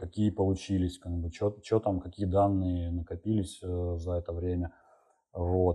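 Against a quiet background, a man's voice carries a dark, mellow tone. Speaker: software developer. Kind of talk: interview.

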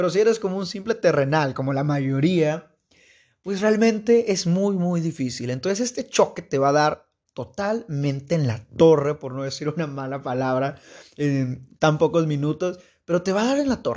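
Against a quiet background, a man talks at a moderate pace with an animated tone and lively intonation. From Mexico, Veracruz state. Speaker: podcast host, university student. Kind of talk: casual monologue.

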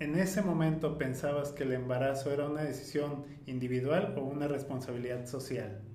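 A man with a fairly high pitch is heard with audible room echo and noticeable background noise. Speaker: podcast host. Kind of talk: casual chat.

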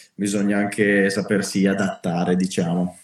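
A man is speaking. His pace is fairly slow. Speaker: street workout podcast host. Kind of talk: casual chat. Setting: Instagram live. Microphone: poor audio quality.

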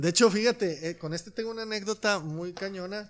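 A man with a high voice talks at a moderate pace, with ordinary pitch variation. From Mexico, Loreto, Zacatecas. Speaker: musician and sneaker collector. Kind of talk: casual chat.

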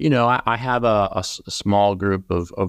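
The background is quiet as a man speaks in an American accent. His pitch variation is ordinary. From Massachusetts, US. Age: middle-aged. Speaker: poet. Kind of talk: interview conversation; poetry reading. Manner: halting, many fillers.

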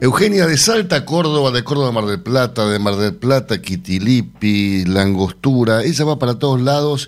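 A man talks at a moderate pace in a medium pitch. He has an ordinary speaking voice with lively intonation. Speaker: radio host. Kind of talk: radio news show. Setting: radio studio.

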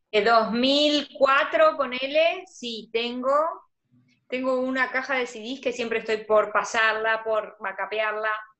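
At a very slow pace, a woman speaks in a high voice with ordinary pitch variation. Her loudness swings widely. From Argentina, provinces outside Buenos Aires. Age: 30s. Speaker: graphic designer and organization course teacher. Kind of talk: casual interview livestream. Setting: video call livestream.

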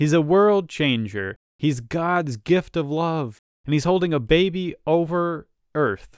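Recorded very cleanly against a silent background, a man with a fairly high pitch talks at a very slow pace with lively intonation. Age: 30s. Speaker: true crime podcast host. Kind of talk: casual podcast narration and commentary. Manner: animated.

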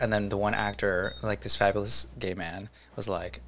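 With an American accent, a man speaks at a fairly low pitch in a plain, everyday voice. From New Jersey, US. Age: 20s. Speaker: theatrical sound designer. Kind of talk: casual chat.

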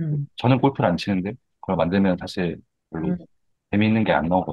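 Lively intonation from a man speaking at a fairly quick pace. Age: 30s. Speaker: emoticon artist. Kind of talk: interview.

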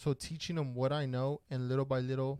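Monotone, flat intonation marks a man's medium-pitched voice, which has a dark, mellow tone. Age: 30s. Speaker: podcast host. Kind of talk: casual chat. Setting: studio.

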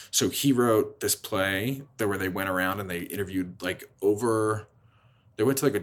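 A man with a plain, everyday voice speaks at a fairly quick pace, his fairly low pitch showing ordinary pitch variation. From Philadelphia. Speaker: playwright. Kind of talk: interview.

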